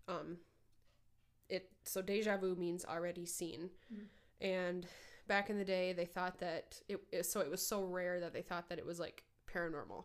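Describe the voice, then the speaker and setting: In an American accent, a woman speaks at medium pitch and a moderate pace, her intonation flat and monotone. Her pauses are long and frequent. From northern Minnesota. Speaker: podcast co-host. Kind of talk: casual chat.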